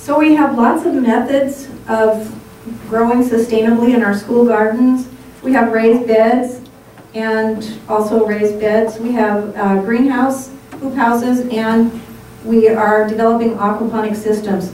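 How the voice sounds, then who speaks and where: Against light background noise and audible room echo, a woman speaks at a fairly slow pace with fairly even intonation. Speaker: guest. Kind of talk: presentation talk. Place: meeting room.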